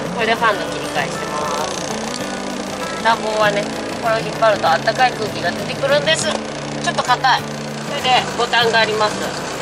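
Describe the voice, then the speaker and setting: Music plays in the background as the speech runs at a fairly quick pace. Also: man. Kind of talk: casual vlog chat. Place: car. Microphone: phone near.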